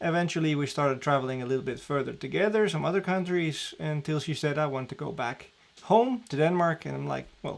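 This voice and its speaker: With a Dutch accent, a man talks at a fairly high pitch. His pitch varies in an ordinary way. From Netherlands, Amsterdam. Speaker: diving training director. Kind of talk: live stream Q&A. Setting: live stream at home. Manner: casual, with many fillers.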